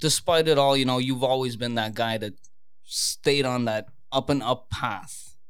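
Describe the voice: A man's medium-pitched, an unremarkable speaking voice, fairly slow, with fairly even intonation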